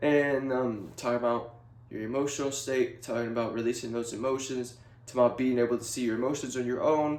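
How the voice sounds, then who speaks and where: Here a man speaks at a very fast pace. His medium pitch stays in a monotone, flat intonation. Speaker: video blogger. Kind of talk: casual monologue to camera. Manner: halting, many fillers.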